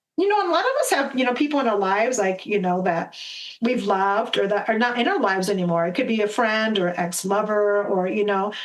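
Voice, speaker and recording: Talking at a very fast pace in an American accent, a woman with a medium pitch and ordinary pitch variation keeps her loudness very even, with noticeable background noise and audible room echo. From US Midwest, Minnesota. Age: 50s. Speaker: medicine woman and spiritual guide. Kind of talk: podcast interview. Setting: video call.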